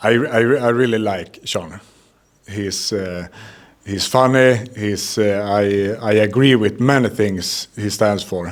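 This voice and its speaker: A man speaks very slowly with a Swedish accent. His fairly low voice has fairly even intonation. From Sweden. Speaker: MMA fighter. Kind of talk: interview. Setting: fight week media, Paris. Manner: halting, many hesitations.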